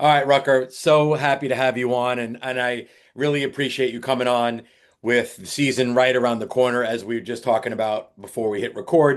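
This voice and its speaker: Against a quiet background, a man with an American accent speaks at a medium pitch with fairly even intonation. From Long Island, New York. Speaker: podcast host, former college baseball coach. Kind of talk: scripted intro; interview podcast.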